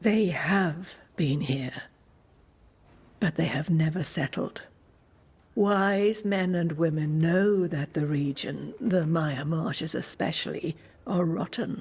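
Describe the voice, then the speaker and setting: A put-on character voice at middle pitch, fairly slow in pace, with long, frequent pauses. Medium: video game. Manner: calm, measured, enigmatic.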